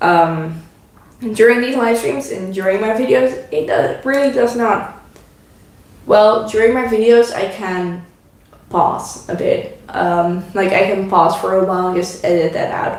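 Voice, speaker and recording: With a Dutch accent, a woman speaks at a medium pitch with ordinary pitch variation and a fairly slow pace, amid noticeable background noise and audible room echo. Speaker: craft YouTuber. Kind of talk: casual chat. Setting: live stream at home. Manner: halting.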